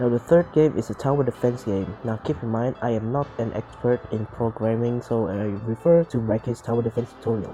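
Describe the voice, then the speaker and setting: Music plays in the background as a man talks at a moderate pace. His pitch is medium with ordinary variation. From Malaysia, Sarawak. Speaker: indie game developer. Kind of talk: casual devlog narration. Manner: hesitant, insecure.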